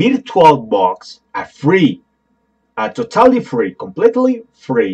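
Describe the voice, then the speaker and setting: A man talks with a Spanish accent, his pitch swinging very widely. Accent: non-native English, Spanish. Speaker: tech tutorial youtuber. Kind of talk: tutorial. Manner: halting.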